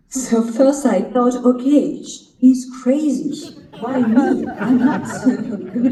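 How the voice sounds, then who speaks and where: A woman with a French accent speaks very slowly at a high pitch with ordinary pitch variation. Audible room echo and noticeable background noise surround her voice. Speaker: actress. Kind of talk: interview.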